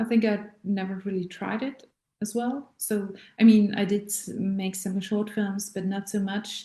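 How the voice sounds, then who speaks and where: A somewhat breathy, dark, mellow voice with a German accent, monotone, flat intonation and a fairly slow pace. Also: woman. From Austria. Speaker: voice teacher and actress. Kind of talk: casual talk to camera. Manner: halting.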